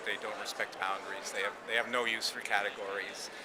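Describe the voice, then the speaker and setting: A man talks over noticeable background noise. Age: 60s. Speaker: craft artist speaking on the field's generations. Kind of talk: interview monologue. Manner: halting, with frequent repetitions and fillers.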